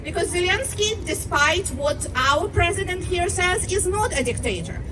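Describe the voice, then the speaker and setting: A woman's extremely high-pitched voice with a non-native accent and lively intonation, amid audible room echo and crowd noise in the background. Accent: foreign accent noticeable. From Ukraine, Russian-speaking region. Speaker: rally speaker. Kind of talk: rally speech. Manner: impassioned.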